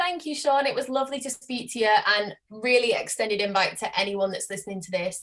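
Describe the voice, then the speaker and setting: A woman with a British accent, fairly quick in pace, with ordinary pitch variation. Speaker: marketing business owner. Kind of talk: interview podcast.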